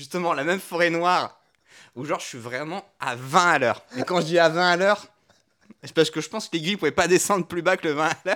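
The man's high voice races along at a very fast pace, its pitch varying in an ordinary way. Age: 30s. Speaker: podcast co-host, entrepreneur. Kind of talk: casual chat. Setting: at home on a couch.

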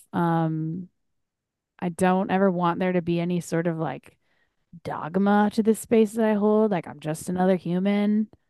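A woman speaks at a medium pitch and a moderate pace. Her tone is dark and mellow. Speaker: podcast host. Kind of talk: casual chat. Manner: casual, candid, excitable; filler-heavy speech.

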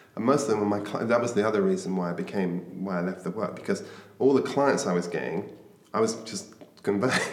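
Over noticeable background noise and audible room echo, a voice with a British accent races along at a very fast pace with ordinary pitch variation. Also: man, fairly low pitch for a man. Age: 50s. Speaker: author and mentor. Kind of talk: interview.

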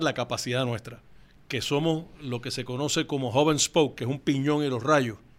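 A man with an ordinary speaking voice talks at a fairly quick pace, fairly high and with ordinary pitch variation. The recording is very clean, with a silent background. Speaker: company founder. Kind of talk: interview.

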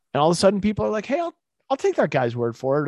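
A man's fairly high voice with an American accent, dry and close with no echo, over a quiet background. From Massachusetts, US (Boston area). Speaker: supplement company CEO. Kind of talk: interview, casual chat.

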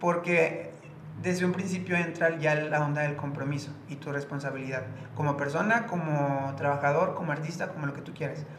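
A man's fairly even intonation and moderate pace come through audible room echo and noticeable background noise. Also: fairly high pitch for a man. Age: 20s. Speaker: dancer. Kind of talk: casual chat.

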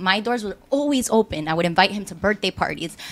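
At a very fast pace, a woman speaks with a medium pitch. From Miami, Cuban-American. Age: 20s. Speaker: podcast panelist, mother. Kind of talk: casual chat.

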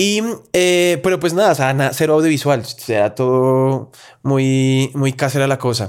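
A man speaks with a strong Bogotá accent at a moderate pace and medium pitch. His pitch variation is ordinary, his loudness very even, and the recording very clean with a silent background. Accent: strong Bogotá rolo. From Colombia, Bogotá. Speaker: content creator. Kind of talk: casual interview chat.

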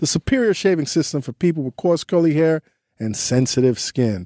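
A man with a dark, mellow tone and fairly high pitch speaks at a fairly quick pace with lively intonation, his sound dry and close with no echo on a very clean recording against a silent background. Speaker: podcast host. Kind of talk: read-out ad; casual interview chat. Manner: like an old-school radio DJ.

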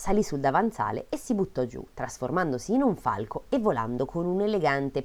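What you hear is a natural reading voice.

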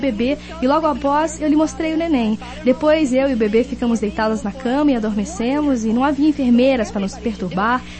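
A woman talks fairly quickly in a high pitch with ordinary pitch variation and an enthusiastic tone. Noticeable background noise runs beneath her voice. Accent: English. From Kenosha, Wisconsin. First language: English (speaking Portuguese). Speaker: network marketing speaker. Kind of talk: motivational talk.

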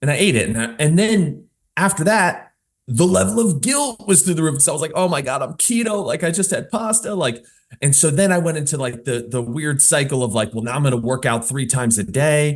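A man's somewhat breathy, fairly high voice at a fairly quick pace, with very wide pitch swings. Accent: American. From New Jersey. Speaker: fitness coach. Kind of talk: casual interview.

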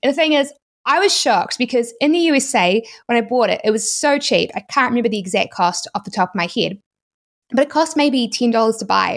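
A woman with a New Zealand accent, high pitch, lively intonation and a fairly quick pace, on a very clean recording with a silent background. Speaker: YouTuber and e-commerce entrepreneur. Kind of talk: interview, explanatory talk.

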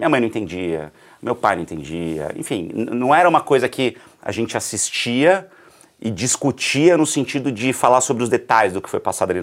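This man's voice shows vocal fry and very wide pitch swings. His pace stays moderate. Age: 30s. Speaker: journalist and entrepreneur. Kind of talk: casual interview. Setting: studio.

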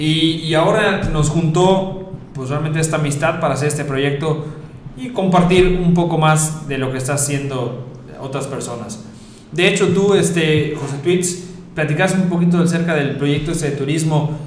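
A man talks at a moderate pace with a fairly high pitch, amid noticeable background noise and audible room echo. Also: ordinary pitch variation. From Mexico. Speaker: podcast host, university founder. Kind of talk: casual chat.

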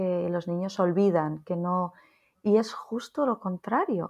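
Speaking at a very slow pace, the woman keeps to a medium pitch that shifts in an ordinary way. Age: 40s. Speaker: nurse and psychotherapist. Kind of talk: interview conversation. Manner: halting.

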